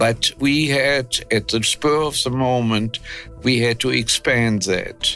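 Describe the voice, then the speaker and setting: With music in the background, a man of medium pitch speaks at a very slow pace. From Germany. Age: 80s+. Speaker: war veteran. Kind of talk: interview answer.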